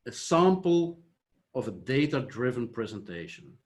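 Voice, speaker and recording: Speaking with a Flemish Belgian accent, a man uses a fairly high pitch and lively intonation at a fairly slow pace. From Flanders, Belgium. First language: Dutch. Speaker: software company founder. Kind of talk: conference presentation. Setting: online conference.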